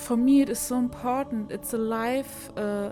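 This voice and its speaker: A voice with a non-native accent is heard over music in the background. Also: woman. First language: not English. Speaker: self-improvement content creator. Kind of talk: casual motivational talk, voice-over without face.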